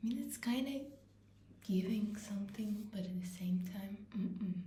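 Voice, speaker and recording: A woman with a non-native accent speaks in a dark, mellow, somewhat breathy tone. Her intonation stays fairly even, and audible room echo surrounds her. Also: medium pitch for a woman, moderate pace. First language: not English. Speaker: vlogger. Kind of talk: casual vlog talk. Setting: bathroom.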